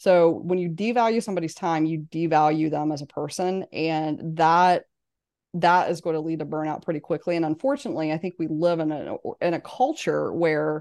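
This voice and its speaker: Against a quiet background, a woman with an American accent talks at a moderate pace in a fairly low pitch, a plain, everyday voice. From West Virginia. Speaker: business coach and author. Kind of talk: interview.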